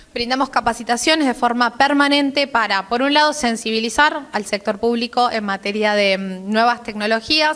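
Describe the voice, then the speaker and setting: A woman talks with hardly any pauses. Her voice is high, and its pitch varies in an ordinary way. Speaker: government technology official. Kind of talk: conference talk. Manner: fast.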